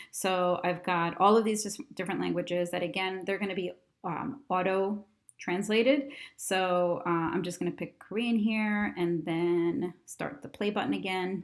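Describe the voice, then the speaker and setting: An animated tone with ordinary pitch variation comes through on a very clean recording with a silent background. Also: woman, medium pitch for a woman. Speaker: educational technology company co-founder. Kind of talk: tutorial. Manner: fast; casual, animated.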